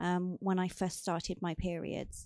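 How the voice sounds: A woman speaks slowly at a fairly low pitch, with little pitch movement and a slightly mellow tone.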